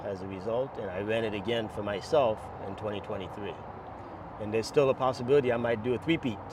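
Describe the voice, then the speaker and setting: Very fast speech in an American accent over noticeable background noise. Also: man, fairly low pitch for a man, ordinary pitch variation. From New York City. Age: 60s. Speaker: masters marathon runner. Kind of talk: interview answer.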